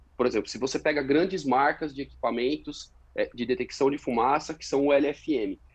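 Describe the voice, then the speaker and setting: A man with an unremarkable speaking voice talks at a moderate pace. His loudness swings widely. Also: fairly high pitch for a man. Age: 30s. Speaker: fire protection engineer. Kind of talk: interview.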